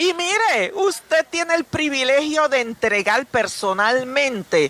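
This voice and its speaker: Very slow speech over noticeable background noise. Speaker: foundation representative. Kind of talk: radio interview.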